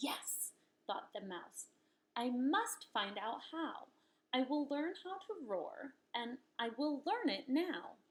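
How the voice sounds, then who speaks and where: A woman puts on a squeaky character voice, high in pitch and swinging very widely up and down. She speaks at a very slow pace. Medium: read story. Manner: small, squeaky.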